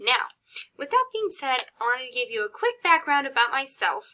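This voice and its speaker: A woman's raised, projected voice, high in pitch with a bright, sharp tone, at a fairly quick pace. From US Midwest, Chicago. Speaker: college psychology instructor. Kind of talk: recorded course introduction lecture. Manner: casual, conversational with fillers.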